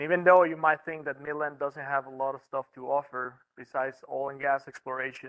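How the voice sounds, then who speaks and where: A man with a Mexican accent talks at a fairly quick pace and a fairly high pitch, in a monotone, flat intonation with hardly any pauses and big swings in loudness, the sound dry and close with no echo. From northern Mexico, Reynosa, Tamaulipas. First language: Spanish. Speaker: wildlife biologist. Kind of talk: presentation talk. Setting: meeting room with online audience. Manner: halting, many fillers.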